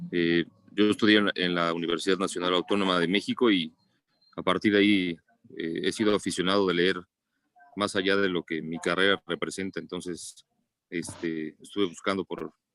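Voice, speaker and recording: A man with a very deep, low voice speaks at a moderate pace. His delivery is monotone and flat, with a dry, close sound and no echo. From Mexico City. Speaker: pediatrician. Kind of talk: book club discussion.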